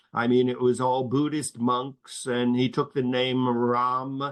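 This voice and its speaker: Over a quiet background, a man talks with a medium pitch. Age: 70s. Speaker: professor. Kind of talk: academic panel Q&A.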